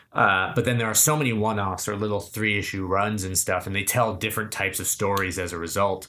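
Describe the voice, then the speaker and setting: With an American accent and a bright, sharp tone, a man talks at a fairly low pitch and a very fast pace, with hardly any pauses and fairly even intonation. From New Hampshire, US. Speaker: comedy writer and director. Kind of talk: casual chat.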